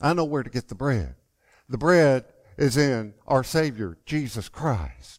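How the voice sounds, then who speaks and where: On a very clean recording with a silent background, a man with a normal speaking voice speaks at a fairly slow pace with lively intonation. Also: medium pitch for a man. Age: 50s. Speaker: podcast host and lay preacher. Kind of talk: casual podcast talk and book review; sermon.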